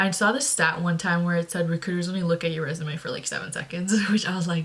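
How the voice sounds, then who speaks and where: Fairly quick and fairly low-pitched, a woman talks with fairly even intonation. Hers is an unremarkable speaking voice. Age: 20s. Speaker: recent college graduate in marketing. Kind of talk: casual talk to camera. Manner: casual, chatty.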